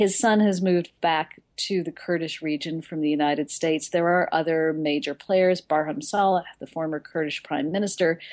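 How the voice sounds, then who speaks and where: A woman speaks in an unremarkable speaking voice, fairly low in pitch with ordinary pitch variation. She keeps a moderate pace with hardly any pauses over a quiet background. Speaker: foreign correspondent. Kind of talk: news report.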